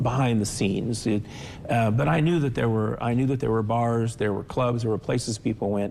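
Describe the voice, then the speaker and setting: A man's medium-pitched voice with fairly even intonation, amid noticeable background noise. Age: 60s. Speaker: author and civic leader. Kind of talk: interview.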